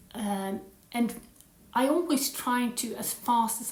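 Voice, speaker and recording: Speaking very slowly with an American accent, a woman shows ordinary pitch variation over noticeable background noise. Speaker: language learning vlogger. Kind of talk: casual talk to camera. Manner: halting, many fillers; put-on British accent.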